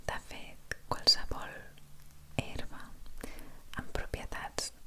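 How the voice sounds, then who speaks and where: Whispering at a very slow pace, a woman is heard over noticeable background noise. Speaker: energy therapist. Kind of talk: ASMR video. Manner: whispered.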